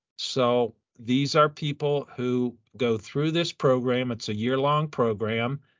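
A man talks at a fairly slow pace in an unremarkable speaking voice. His pitch sits in the medium range, and his intonation is fairly even. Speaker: sports physiologist. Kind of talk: interview.

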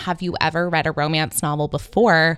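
A woman with an American accent speaks in an animated tone. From Northern California. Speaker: podcast host. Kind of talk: casual chat.

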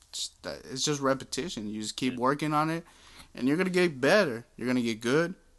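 Against a quiet background, a man in a normal speaking voice talks at medium pitch and a fairly quick pace with lively intonation. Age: 20s. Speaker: podcast guest, father. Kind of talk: casual chat.

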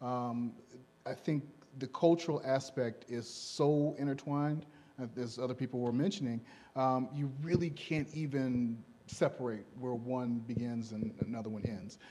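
Medium in pitch, this man speaks with a dark, mellow tone and an American accent. His pitch varies in an ordinary way against a quiet background. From Gary, Indiana. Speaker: church member panelist. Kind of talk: panel discussion. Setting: church service.

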